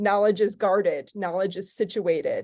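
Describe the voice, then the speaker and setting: A woman with a Chicago accent, a dark, mellow tone and a moderate pace. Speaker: archival scholar. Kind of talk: panel discussion. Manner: casual, many fillers.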